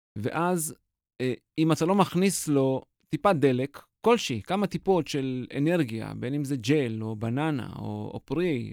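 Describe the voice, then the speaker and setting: This man's voice swings very widely in pitch. The sound is dry and close with no echo, in a very clean recording with a silent background. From Israel. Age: 40s. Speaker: marathon runner and mental coach. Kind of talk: interview. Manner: halting, many filler sounds.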